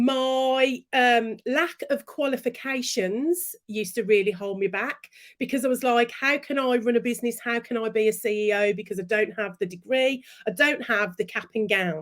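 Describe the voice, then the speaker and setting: A woman with a Brummie accent speaks in an animated tone at a moderate pace. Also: fairly high pitch for a woman, ordinary pitch variation. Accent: Brummie (Birmingham) English. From Birmingham, England. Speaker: business and branding coach. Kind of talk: interview.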